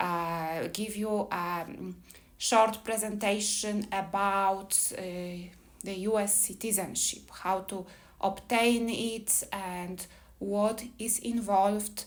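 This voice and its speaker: Speaking very slowly with a Polish accent, a woman keeps a medium pitch and a monotone, flat intonation, with audible room echo around her. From Poland. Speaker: immigration attorney. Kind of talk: seminar presentation. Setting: live seminar with audience. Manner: hesitant, with fillers.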